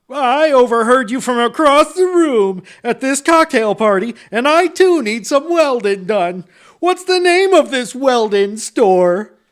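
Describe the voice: A put-on character voice is raised and projected, its pitch swinging very widely. The pace is fairly slow. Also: man, extremely high pitch for a man.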